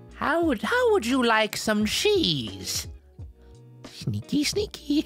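Faint music plays in the background as a female-sounding voice in a put-on character voice speaks at a very slow pace. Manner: sneaky, scheming.

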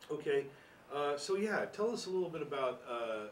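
A fairly high-pitched man's voice amid noticeable background noise. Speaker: local history interviewer. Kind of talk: oral history interview. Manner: casual, friendly.

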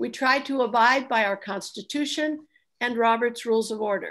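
High-pitched woman's voice over a quiet background. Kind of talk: meeting announcements. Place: kitchen. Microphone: video call.

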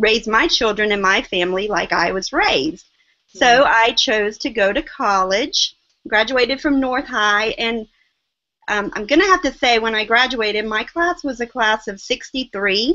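A woman with a Southern US accent talks at a fairly slow pace, her intonation lively. Her loudness swings widely against a quiet background. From US South, small-town South Carolina. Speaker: online seller, guest. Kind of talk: interview. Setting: video call. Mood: reflective, earnest. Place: home room. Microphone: video call.

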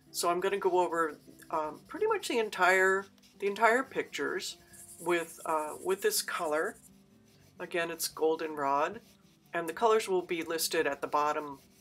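A woman speaks at a fairly low pitch and a moderate pace, with ordinary pitch variation. Faint music plays behind her. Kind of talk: tutorial.

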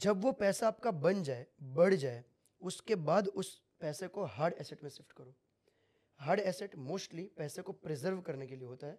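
Over a quiet background, a man speaks at a fairly slow pace with lively intonation. His loudness swings widely. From Gujarat, India. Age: 20s. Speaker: crypto trader; podcast guest. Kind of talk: casual interview. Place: studio. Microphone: studio mic.

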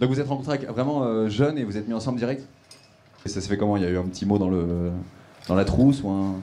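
A man with a fairly low pitch talks in an animated tone with ordinary pitch variation, leaving long, frequent pauses. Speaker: stand-up comedian. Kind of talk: stand-up comedy improvised with audience members. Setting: comedy club stage with live audience laughing. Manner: animated, teasing crowd work, quick-fire and cheeky; mimics the couple's voices and reactions, punchy and playful. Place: stage. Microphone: handheld.

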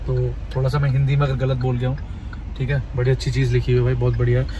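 A man talks at a very fast pace with very even loudness. The sound is dry with no echo, and there is noticeable background noise. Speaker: travel vlogger. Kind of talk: casual vlog chat. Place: car. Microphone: phone near.

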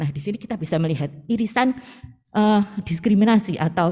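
A woman with a medium-pitched, dark, mellow and somewhat breathy voice talks very fast. Her intonation is lively, and the background is quiet. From Indonesia. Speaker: seminar moderator. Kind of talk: moderating. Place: meeting room. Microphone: podium.

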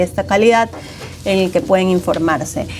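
Over light background noise, a woman speaks with fairly even intonation. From Ecuador. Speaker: co-host. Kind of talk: news discussion show. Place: studio. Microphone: lapel.

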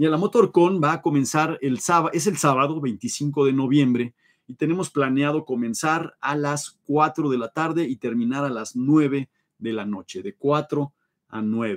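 Against a quiet background, a man talks in an animated tone, his fairly high pitch moving with ordinary variation. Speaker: live show host, toy car collector; live show host. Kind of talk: livestream chat reading viewer comments. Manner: fast. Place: home room.

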